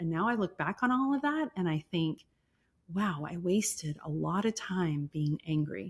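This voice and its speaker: A woman with a fairly low pitch speaks in a plain, everyday voice with lively intonation on a very clean recording with a silent background. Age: 50s. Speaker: entrepreneur. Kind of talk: interview.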